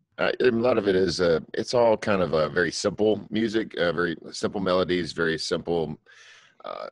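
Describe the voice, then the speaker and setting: A man with a very deep, low voice, ordinary pitch variation and a fairly quick pace, recorded dry with no echo over a quiet background. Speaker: guest. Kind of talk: interview answer. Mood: relaxed, friendly. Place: home room. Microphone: video call.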